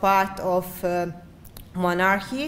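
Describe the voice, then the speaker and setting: A woman talks at a very slow pace. Room echo is audible. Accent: Hungarian. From Great Szeged region, Hungary/Serbia border. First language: Hungarian. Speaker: architecture researcher. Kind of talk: conference presentation. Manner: halting, many fillers.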